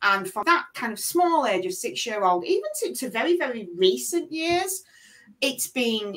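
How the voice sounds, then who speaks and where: A woman in a strong Leeds accent, with very wide pitch swings at a moderate pace. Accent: strong Leeds accent, remarked on as common. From northern England, Leeds. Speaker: interview guest. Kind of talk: casual interview chat.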